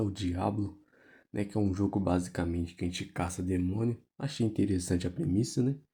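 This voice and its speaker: A man talks quietly and fairly quickly, somewhat breathy, in a dark, mellow tone with fairly low pitch and ordinary pitch variation. The recording is very clean, with a silent background. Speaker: gaming youtuber who preaches. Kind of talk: casual sermon over gameplay. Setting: at home at night. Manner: quiet, speaking low.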